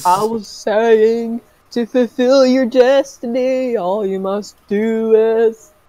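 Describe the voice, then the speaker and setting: Very slowly, someone speaks in a put-on character voice with a fairly high pitch. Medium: game stream. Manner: portentous, oracle-like.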